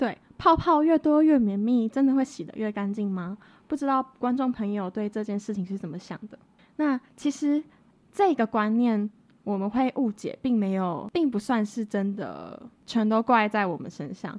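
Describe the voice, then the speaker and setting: A woman talks with lively intonation at a fairly high pitch and a moderate pace, in an ordinary speaking voice. Her loudness swings widely. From rural Taiwan. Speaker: podcast co-host, cosmetics student. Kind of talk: casual educational chat.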